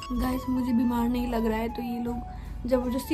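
The speech moves at a fairly slow pace over clear music in the background. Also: woman. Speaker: vlogger. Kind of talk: casual vlog chat. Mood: mildly complaining, playful. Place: home room. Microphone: phone near.

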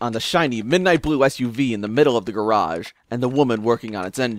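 The clip is plain reading aloud, and the pitch moves up and down in an ordinary way.

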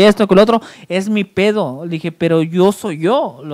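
Over a quiet background, a man speaks in an animated tone at a moderate pace. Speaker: show host. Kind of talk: casual chat. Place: studio. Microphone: handheld.

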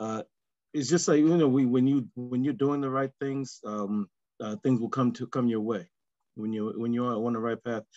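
A man with an American accent talks at a moderate pace in a dark, mellow tone with ordinary pitch variation. The sound is dry with no echo, over a quiet background. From New York. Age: 50s. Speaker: coach. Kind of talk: casual group discussion. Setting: video call. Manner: halting. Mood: grateful, positive. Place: home room. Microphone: video call.

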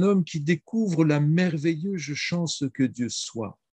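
A man's somewhat breathy voice comes through dry with no echo against a quiet background. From France. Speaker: priest and historian; priest. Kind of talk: reading prepared talk. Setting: video call. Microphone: video call.

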